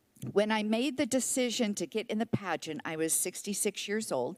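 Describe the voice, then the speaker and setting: A plain, everyday voice: a woman at medium pitch, moderate pace and lively intonation, in a dry, close sound with no echo and a very clean recording over a silent background. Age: 60s. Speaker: senior pageant titleholder. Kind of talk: public comment speech. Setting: city council meeting.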